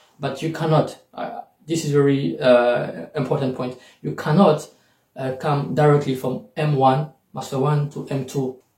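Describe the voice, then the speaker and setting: A man with a French accent, fairly high-pitched and somewhat breathy, at a fairly slow pace with fairly even intonation. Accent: French accent in English, self-noted. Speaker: YouTuber and scholarship coach. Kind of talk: tutorial. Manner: hesitant, many fillers.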